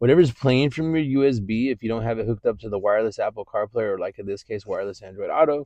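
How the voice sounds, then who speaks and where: A man with an American accent and a dark, mellow tone at a very fast pace, in a dry, close sound with no echo. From California, San Jose Bay Area. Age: young. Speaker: car salesman. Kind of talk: car walkaround tutorial. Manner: loud.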